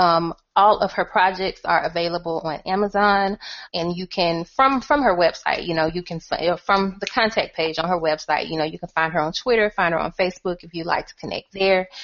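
Her voice sits fairly low for a woman, with ordinary pitch variation. Loudness swings widely from moment to moment. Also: fairly quick pace. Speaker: podcast host and author. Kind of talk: casual chat.

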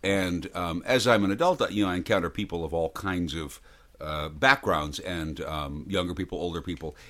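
A man's very deep, low voice at a moderate pace, with ordinary pitch variation, in a very clean recording with a silent background. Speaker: actor and voiceover artist. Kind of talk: casual chat. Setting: studio. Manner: self-deprecating, humorous.

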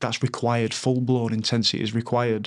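A man with a Yorkshire accent, medium pitch and monotone, flat intonation at a moderate pace over a quiet background. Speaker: former professional rugby player. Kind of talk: casual chat. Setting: in person at host's home. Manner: halting.

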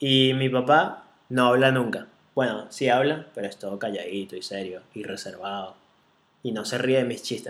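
This man has a Venezuelan accent and a medium pitch with ordinary pitch variation. He talks at a moderate pace, with big swings in loudness. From Venezuela, Caracas. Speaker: podcast host, entrepreneur. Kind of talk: casual chat.

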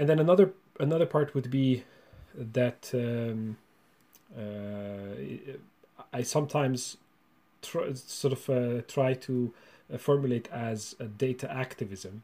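With a Hungarian accent and a dark, mellow tone, a man speaks at a very slow pace with long, frequent pauses. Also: medium pitch for a man, ordinary pitch variation. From Romania (Hungarian minority). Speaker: university researcher and lecturer. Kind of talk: interview. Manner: halting, with many repetitions.

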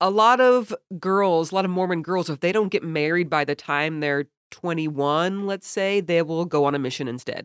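This is a normal speaking voice at a moderate pace. The pitch variation is ordinary. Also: woman, fairly low pitch for a woman. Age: 40s. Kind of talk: casual interview chat. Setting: video call.

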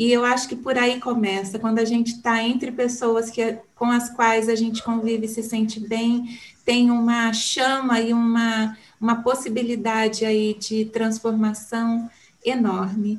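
The voice has a warm tone and a monotone, flat intonation. It moves at a fairly slow pace with very even loudness. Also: woman, fairly high pitch for a woman. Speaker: podcaster, communications professional. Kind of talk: interview.

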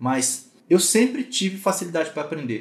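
A man's fairly high-pitched voice moves in very wide pitch swings. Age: 30s. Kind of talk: online mentoring talk. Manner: casual.

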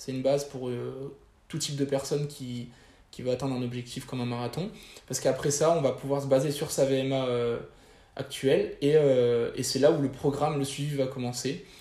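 At a moderate pace but with long, frequent pauses, a man speaks in a monotone, flat intonation, with a fairly high pitch, a dark, mellow tone and a somewhat breathy quality. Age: 20s. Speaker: fitness coach. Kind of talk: interview. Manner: halting.

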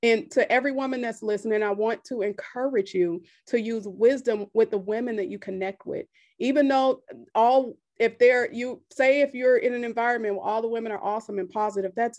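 Against a quiet background, a woman with an American accent and an unremarkable speaking voice talks at a moderate pace, her pitch fairly high with ordinary variation. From US Midwest, south side of Chicago. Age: 30s. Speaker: women's life coach. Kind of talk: interview testimony.

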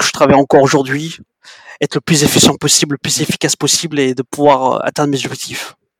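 His voice sits fairly high in pitch. The man delivers his words at a fairly quick pace. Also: dry, close sound with no echo. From Djibouti. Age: 30s. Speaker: sales development representative. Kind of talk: interview.

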